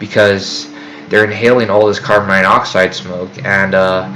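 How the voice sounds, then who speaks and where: Fairly even in intonation and fairly low in pitch, a man talks over noticeable background noise. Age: 20s. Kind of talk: casual talk to camera. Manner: hesitant, rambling.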